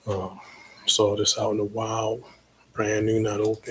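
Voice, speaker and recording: A man's relaxed tone comes at a fairly slow pace and fairly low pitch, with noticeable background noise. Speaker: DJ and livestream host. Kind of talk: casual livestream talk. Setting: home livestream on computer. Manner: relaxed, with many fillers.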